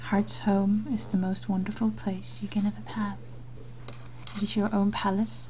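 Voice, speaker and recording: Noticeable background noise accompanies talking that proceeds at a moderate pace. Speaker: meditation guide. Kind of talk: guided meditation. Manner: soft-spoken.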